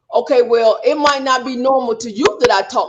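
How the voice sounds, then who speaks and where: Noticeable background noise behind fairly quick speech. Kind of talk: panel discussion. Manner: loud; outspoken.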